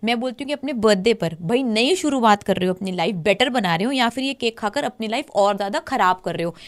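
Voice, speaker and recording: On a very clean recording with a silent background and a dry, close sound with no echo, a woman with a normal speaking voice talks at a moderate pace, fairly high in pitch, with lively intonation and hardly any pauses. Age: 40s. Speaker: diet coach. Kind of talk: casual podcast chat.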